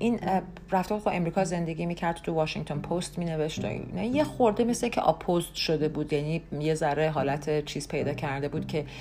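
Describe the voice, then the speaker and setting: A woman with a very deep, low pitch speaks at a fairly quick pace and ordinary pitch variation. Noticeable background noise runs underneath. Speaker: podcast host. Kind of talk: casual monologue. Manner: conversational with many fillers.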